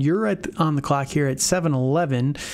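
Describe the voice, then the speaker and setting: Speaking fairly slowly, a man with a fairly high pitch uses a normal speaking voice. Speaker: fantasy football podcast host. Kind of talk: casual chat.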